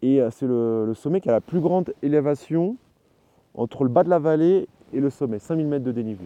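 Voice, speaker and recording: A man with a fairly high voice talks at a fairly quick pace, his intonation lively. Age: 30s. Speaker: mountaineer. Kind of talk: interview. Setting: outdoors. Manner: halting.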